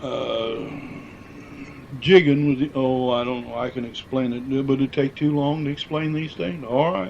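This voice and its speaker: This man talks in a Midwestern American accent. His pace is fairly slow. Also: medium pitch for a man, ordinary pitch variation. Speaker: former miner and quarry worker. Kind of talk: oral history interview answer.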